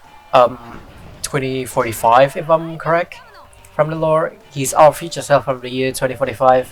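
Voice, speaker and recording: A man at a medium pitch, in an Indonesian accent, at a moderate pace with big swings in loudness, music in the background. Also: fairly even intonation. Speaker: gaming YouTuber. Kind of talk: gameplay commentary. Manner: rambling, hesitant with many fillers.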